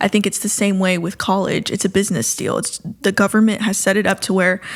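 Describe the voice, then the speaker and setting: In a very clean recording with a silent background, a woman speaks at a very fast pace with a medium pitch and monotone, flat intonation. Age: 20s. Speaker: co-host. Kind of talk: casual discussion.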